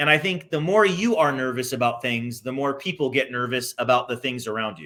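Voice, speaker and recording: A bright, sharp tone at a fairly quick clip, with lively intonation and big swings in loudness. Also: man, medium pitch for a man. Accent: Californian. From California. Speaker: insurance business owner, interviewer. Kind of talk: casual interview.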